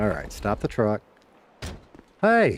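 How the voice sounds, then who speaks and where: Speaking with an American accent, a man shows vocal fry and very wide pitch swings. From US South (Birmingham, Alabama). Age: 50s. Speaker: streamer, former radio announcer. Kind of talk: casual livestream chat while gaming. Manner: fast when excited; animated.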